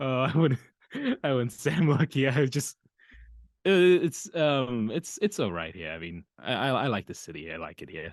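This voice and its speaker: A man with a New Zealand accent speaks at a moderate pace in a medium pitch, with vocal fry, very wide pitch swings and big swings in loudness, recorded dry and close with no echo against a quiet background. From New Zealand, Auckland. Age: 20s. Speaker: voice actor. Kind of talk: casual chat. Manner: halting.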